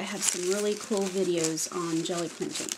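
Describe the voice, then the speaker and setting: Her intonation stays fairly even as the woman speaks at a moderate pace. Background noise is noticeable. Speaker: craft video creator. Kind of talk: tutorial. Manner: casual, halting with fillers.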